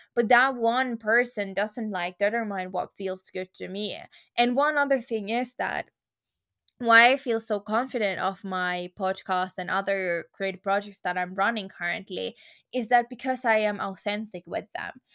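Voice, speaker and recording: A woman speaks at a medium pitch with a bright, sharp tone. The recording is very clean with a silent background and a dry, close sound with no echo. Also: ordinary pitch variation, moderate pace. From Finland. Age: 20s. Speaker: podcast host. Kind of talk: solo Q&A monologue.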